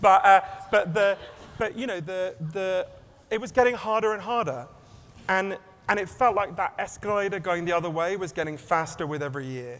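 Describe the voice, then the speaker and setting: A man speaks with an English accent in a high pitch. His pitch varies in an ordinary way, and noticeable background noise runs underneath. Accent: English accent, self-described as weird. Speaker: author and keynote speaker. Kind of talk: keynote talk. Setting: stage with audience. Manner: fast.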